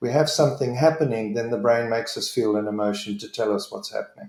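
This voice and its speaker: A man's somewhat breathy voice with a dark, mellow tone and lively intonation. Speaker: leadership trainer. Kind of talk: online presentation.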